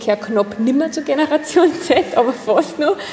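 A woman's lively intonation at a moderate pace, with a slight Upper Austrian accent and noticeable background noise. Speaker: generational consultant for companies and apprentices. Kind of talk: casual interview. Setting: coffee house.

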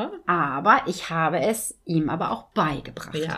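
Her voice is fairly low and has a bright, sharp tone. The woman's intonation is lively. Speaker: dog trainer. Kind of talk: casual chat. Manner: laughs often.

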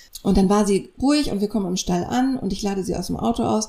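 A woman's dark, mellow tone sits at a medium pitch with ordinary pitch variation. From northern Germany (near Kiel). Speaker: podcast co-host, radio journalist. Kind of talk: casual chat. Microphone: poorly set-up microphone.

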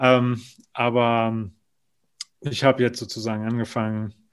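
On a very clean recording with a silent background, a man speaks fairly slowly at a medium pitch with monotone, flat intonation. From Germany, North Rhine-Westphalia. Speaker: theme park attraction designer. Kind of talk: casual interview.

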